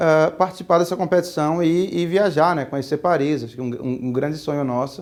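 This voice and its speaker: The recording is very clean, with a silent background. A man with a Pernambuco accent talks at a moderate pace with ordinary pitch variation. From Pernambuco, Brazil. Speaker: entrepreneur, speaker. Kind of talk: talk to students. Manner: casual, with many fillers.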